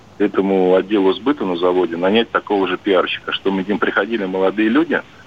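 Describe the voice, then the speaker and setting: A man's fairly low voice at a very fast pace over noticeable background noise. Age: 40s. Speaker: long-haul truck driver. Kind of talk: call-in chat.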